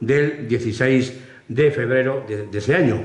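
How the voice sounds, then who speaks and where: A man's voice is heard with audible room echo. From Spain, Cuenca. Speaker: Holy Week proclaimer (pregonero). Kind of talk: public address at a Holy Week event. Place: hall. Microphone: podium.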